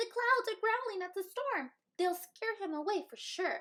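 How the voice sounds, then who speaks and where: A woman uses a put-on character voice, squeaky and extremely high-pitched. She talks at a moderate pace in a raised, projected voice. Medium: read story. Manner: sputtering, quick.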